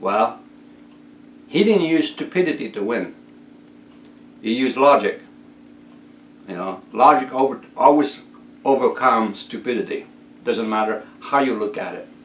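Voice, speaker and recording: Speaking at a moderate pace with an French-Canadian accent, a man leaves long, frequent pauses and his loudness swings widely. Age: 60s. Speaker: inventor and video blogger. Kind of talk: casual monologue rant.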